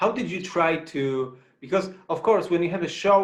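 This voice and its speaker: This man has a plain, everyday voice. He speaks at a moderate pace with lively intonation. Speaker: festival interviewer. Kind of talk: interview questions.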